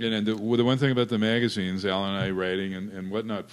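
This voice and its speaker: The clip has an unremarkable speaking voice, and its pitch varies in an ordinary way. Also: man. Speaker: wrestling photographer and magazine writer. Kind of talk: panel discussion.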